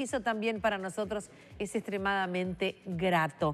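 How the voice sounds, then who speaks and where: A woman is speaking. Her pace is fairly slow. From Uruguay. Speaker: TV host. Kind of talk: casual chat. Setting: studio. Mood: warm, smiling. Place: studio.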